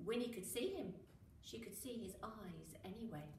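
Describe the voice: In a room with strong echo, a woman speaks at a moderate pace in a fairly high pitch with a bright, sharp tone.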